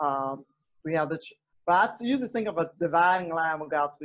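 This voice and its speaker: In an Alabama accent, a woman speaks with a fairly low pitch. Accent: Southern US (Alabama). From US South. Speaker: gospel singer. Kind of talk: casual chat.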